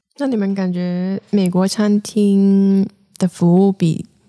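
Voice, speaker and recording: A woman's medium-pitched voice with a dark, mellow tone and monotone, flat intonation, in a dry, close sound with no echo. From Hong Kong. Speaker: podcast co-host. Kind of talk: casual chat.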